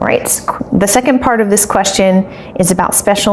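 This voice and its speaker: Amid noticeable background noise, a woman with an American accent speaks at a medium pitch with ordinary pitch variation. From United States (Maryland, Colorado, Ohio, Illinois). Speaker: English teacher. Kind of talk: casual Q&A video for students. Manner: animated, enthusiastic.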